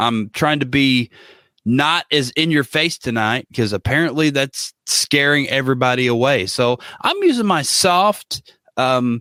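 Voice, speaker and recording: A man speaks fairly slowly at a medium pitch, with ordinary pitch variation and very even loudness. His tone is bright and sharp, the sound dry and close with no echo. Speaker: podcast co-host. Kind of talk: casual chat. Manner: soft-spoken.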